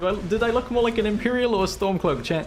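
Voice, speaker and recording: A high-pitched man talks very fast with lively intonation amid noticeable background noise. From Wales. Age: 20s. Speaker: gaming streamer. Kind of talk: live stream gaming commentary. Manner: casual, hesitant with repetitions.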